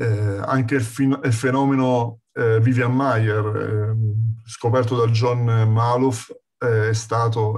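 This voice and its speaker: A man speaks at a very slow pace in a flat monotone, somewhat breathy. His pitch is medium, and the background is quiet. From Campania, Castellammare di Stabia near Naples. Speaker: street photographer. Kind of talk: lecture.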